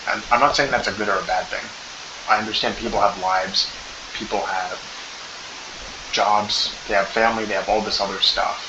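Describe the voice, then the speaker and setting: A man speaks quietly at a fairly quick pace, his pitch fairly low. Noticeable background noise and audible room echo fill the recording. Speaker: MMA commentary YouTuber. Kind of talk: casual fight analysis monologue. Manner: talking quietly; animated. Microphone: poor microphone, low volume.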